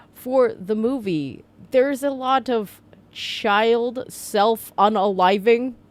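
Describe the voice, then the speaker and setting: The delivery is very slow. Intonation stays fairly even. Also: woman. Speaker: book reviewer. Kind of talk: casual book review vlog. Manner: halting, stumbling.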